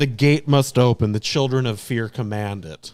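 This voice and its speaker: A man does a put-on character voice with growling. It sits at a medium pitch and moves at a moderate pace. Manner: growling, menacing.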